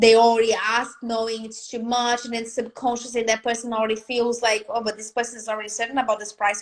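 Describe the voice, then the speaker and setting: A woman speaks at a fairly high pitch and a fairly quick pace. The recording is very clean with a silent background. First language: not English. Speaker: business and confidence coach. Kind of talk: live video interview. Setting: live video stream. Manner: animated.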